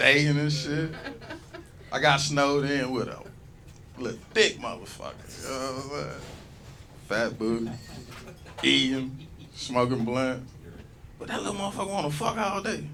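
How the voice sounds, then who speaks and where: Animated and lively in intonation, a man speaks at a fairly high pitch and moderate pace, leaving long, frequent pauses amid audible room echo. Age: 40s. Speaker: stand-up comedian. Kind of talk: stand-up. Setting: stage with audience.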